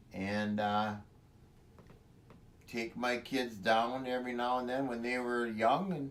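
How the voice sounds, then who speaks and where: A man speaks with an Upper Midwest accent. His pace is very slow and his intonation fairly even. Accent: Upper Midwest American (Michigan). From Michigan, US Midwest. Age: 60s. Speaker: farmer. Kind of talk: interview. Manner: halting.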